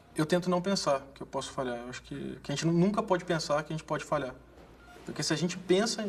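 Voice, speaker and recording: Speaking in an inland Brazilian accent, a man with a fairly high voice talks at a very fast pace. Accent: rural inland Brazilian. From interior of Brazil. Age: 20s. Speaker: medical resident. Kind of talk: interview testimony.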